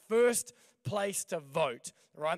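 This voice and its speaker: With an Australian accent, the speaker sounds animated, showing ordinary pitch variation on a very clean recording with a silent background. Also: man. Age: young. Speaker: pastor. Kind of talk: sermon. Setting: church stage.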